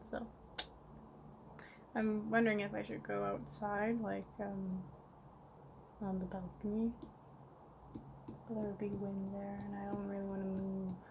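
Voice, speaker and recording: Mumbling at a fairly slow pace, a woman speaks with a medium pitch. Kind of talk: casual rambling video diary. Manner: mumbled.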